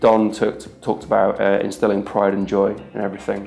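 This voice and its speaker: At a fairly quick pace, a man with a fairly low pitch speaks over faint music in the background. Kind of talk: interview answer. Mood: earnest, measured. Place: office.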